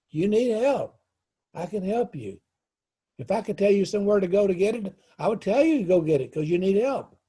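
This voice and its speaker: Talking at a fairly quick pace yet with long, frequent pauses, a man uses a high pitch, lively intonation and a dark, mellow tone. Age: 80s+. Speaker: life coach and counselor. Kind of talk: teaching monologue to camera. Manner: repetitive, emphatic.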